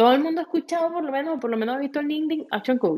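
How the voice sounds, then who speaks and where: A woman is speaking. Her pitch swings very widely. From Venezuela. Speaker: franchise consultant. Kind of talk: interview.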